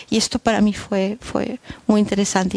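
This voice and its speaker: Monotone, flat speech comes over a quiet background, the sound dry with no echo. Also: woman. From Germany. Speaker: documentary filmmaker. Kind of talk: talk after film screening. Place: stage. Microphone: headset.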